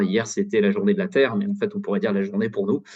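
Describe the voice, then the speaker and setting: Pitch swings very widely as a man talks in a fairly high voice. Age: 40s. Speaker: data consultant, climate volunteer. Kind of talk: webinar testimony. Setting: online webinar. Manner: hesitant, many fillers and repetitions.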